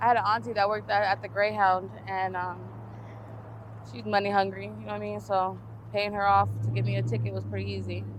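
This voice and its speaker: A woman speaks at a very fast pace. Room echo can be heard. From New Mexico, Albuquerque. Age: 20s. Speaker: interviewee, formerly homeless woman. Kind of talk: street interview.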